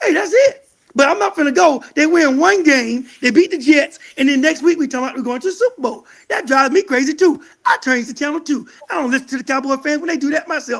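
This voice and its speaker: At an extremely high pitch, a man talks at a fairly quick pace with lively intonation. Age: 60s. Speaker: Cowboys fan guest. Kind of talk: casual chat.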